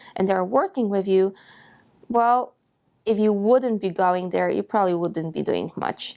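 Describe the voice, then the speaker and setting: Fairly slow and medium in pitch, a woman speaks in a Polish accent with a dark, mellow tone and ordinary pitch variation. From Poland. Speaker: patient care manager. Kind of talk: interview answer. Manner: hesitant, with filler sounds.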